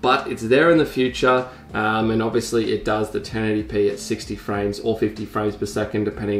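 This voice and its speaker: With audible room echo and light background noise, a man speaks in a fairly low voice with fairly even intonation. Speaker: vlogger. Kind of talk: casual vlog chat, gear review. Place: home room.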